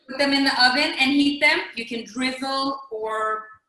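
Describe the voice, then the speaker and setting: A woman with a bright, sharp tone speaks with fairly even intonation amid audible room echo. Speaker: rebbetzin cooking demonstrator. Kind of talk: cooking demonstration. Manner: casual, hesitant with fillers.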